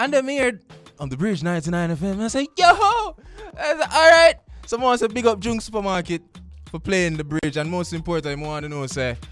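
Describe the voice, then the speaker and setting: With a Jamaican accent, the speaker talks at a fairly quick pace in very wide pitch swings, with music in the background. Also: man, high pitch for a man. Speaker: radio host. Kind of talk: radio show monologue. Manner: upbeat, casual.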